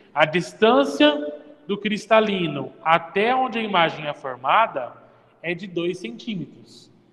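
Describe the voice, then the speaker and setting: A man's high-pitched voice with lively intonation, a fairly slow pace and noticeable background noise. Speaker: physics teacher. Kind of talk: classroom lecture.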